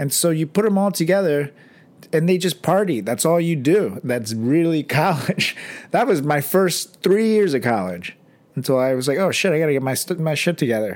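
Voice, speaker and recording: A man with a fairly high pitch speaks at a moderate pace, animated, with lively intonation. His loudness stays very even in a very clean recording with a silent background. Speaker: podcast co-host. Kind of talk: casual chat.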